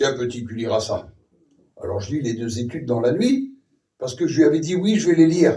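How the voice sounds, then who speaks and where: With very wide pitch swings and a fairly high pitch, a man speaks at a moderate pace amid audible room echo. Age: 60s. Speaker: preacher. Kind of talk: sermon.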